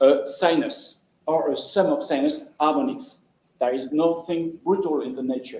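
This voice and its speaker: With a French accent, this man speaks at a fairly slow pace in a high, dark and mellow voice, with audible room echo. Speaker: lecturer. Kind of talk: lecture. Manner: halting.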